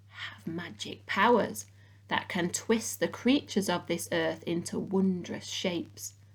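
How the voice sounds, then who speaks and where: A put-on, guttural character voice at middle pitch and a fairly slow pace. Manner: sinister.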